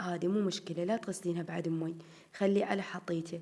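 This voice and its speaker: A woman's dark, mellow voice with an Iraqi accent. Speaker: home vlogger. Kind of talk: casual vlog chat.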